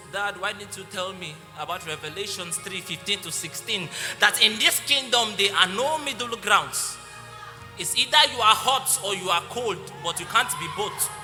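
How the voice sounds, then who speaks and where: A man speaks at a high pitch, his loudness swinging widely. Music plays in the background. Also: ordinary pitch variation, moderate pace. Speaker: spoken word poet. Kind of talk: spoken word poetry performance.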